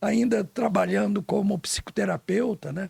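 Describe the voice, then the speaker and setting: The voice belongs to a man. It sounds dry and close, without echo. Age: 80s+. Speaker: psychologist and retired navy pilot. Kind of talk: casual interview.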